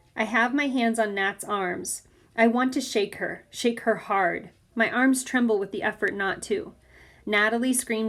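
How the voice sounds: The recording carries a natural reading voice.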